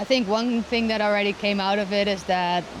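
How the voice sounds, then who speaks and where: Against noticeable background noise, a woman speaks at a medium pitch with monotone, flat intonation. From Netherlands. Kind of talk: interview answer.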